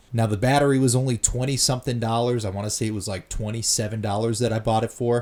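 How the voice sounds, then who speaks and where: A man's somewhat breathy, very fast delivery with fairly even intonation. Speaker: DIY mechanic. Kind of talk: instructional voiceover.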